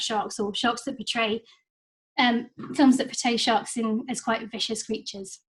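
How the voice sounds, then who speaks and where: This woman's voice sits fairly high. There's a somewhat breathy quality to it. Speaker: marine conservationist giving a talk. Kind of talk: online lecture. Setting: video call meeting. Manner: hesitant, many fillers.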